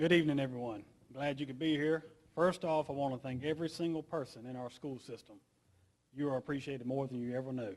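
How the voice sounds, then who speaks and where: Speaking very fast with a fairly even intonation, a man with a fairly high pitch talks in an American accent. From US South, Effingham County, Georgia. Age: 40s. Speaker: school board candidate. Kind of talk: candidate forum speech.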